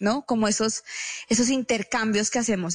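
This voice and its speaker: Against a quiet background, a woman with a normal speaking voice talks at a fairly high pitch with fairly even intonation. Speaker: speaker and writer. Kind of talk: radio interview.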